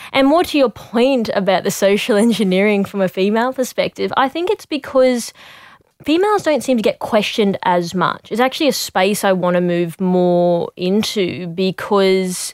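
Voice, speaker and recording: A plain, everyday voice, a woman at a medium pitch speaks at a moderate pace with lively intonation and very even loudness, in a dry, close sound with no echo on a very clean recording with a silent background. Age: young. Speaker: cybersecurity communications specialist. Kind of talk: podcast discussion.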